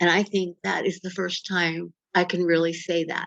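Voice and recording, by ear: A woman speaks at a moderate pace with fairly low pitch, a fairly bright tone and little pitch movement. There is vocal fry, and the sound is dry and close with no echo.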